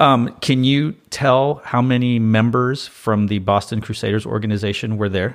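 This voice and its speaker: A man's ordinary speaking voice at medium pitch, moderate pace and fairly even intonation. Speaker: podcast host. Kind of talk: casual interview chat.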